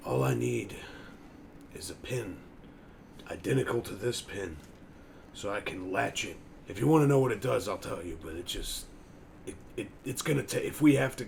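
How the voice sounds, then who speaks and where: Over clear background noise, a man performs a raspy, put-on character voice. He keeps a moderate pace broken by long, frequent pauses. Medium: actual play. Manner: jovial, casual.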